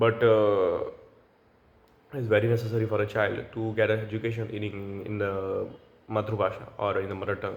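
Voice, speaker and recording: A man's fairly low voice with a Gujarati accent, monotone and flat in intonation, at a fairly quick pace amid audible room echo. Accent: Indian (Gujarati) English. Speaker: language learner vlogger. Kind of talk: solo free-speaking practice monologue. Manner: halting, with self-corrections.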